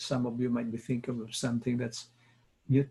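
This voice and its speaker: A man talks in a dark, mellow tone. His voice is somewhat breathy. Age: 70s. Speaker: wellness coach. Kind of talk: talk-show monologue. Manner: measured, with frequent filler pauses.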